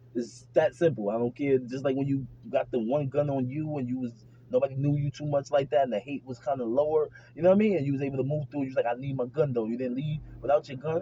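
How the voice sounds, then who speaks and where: An animated man with a fairly high pitch talks at a very fast pace. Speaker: vlogger. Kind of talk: casual monologue to camera.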